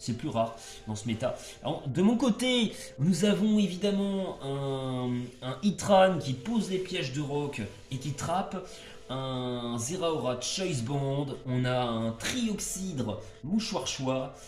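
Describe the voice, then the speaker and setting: A man's fairly high voice at a very slow pace, with very wide pitch swings, noticeable background noise and audible room echo. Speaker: gaming YouTuber. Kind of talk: gameplay commentary. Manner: loud; hesitant, many fillers. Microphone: no microphone, speaks loud.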